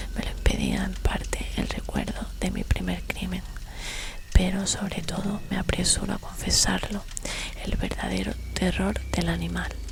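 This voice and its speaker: A woman whispers at a fairly slow pace against noticeable background noise. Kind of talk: horror story reading. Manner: whispered.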